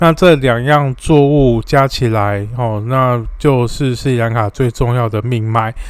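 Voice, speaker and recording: Fairly even intonation in a plain, everyday voice. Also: man. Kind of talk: solo explainer monologue. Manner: frequent filler particles (哦).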